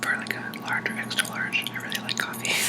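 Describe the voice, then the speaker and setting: Noticeable background noise runs through the clip. Beneath it, a man whispers. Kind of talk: ASMR whisper talk to camera about tea. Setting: laptop microphone, home recording. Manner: whispered, soft-spoken.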